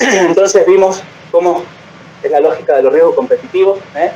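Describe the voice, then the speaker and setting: A man speaks over noticeable background noise. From Argentina. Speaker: physician. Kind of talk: lecture. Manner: fast.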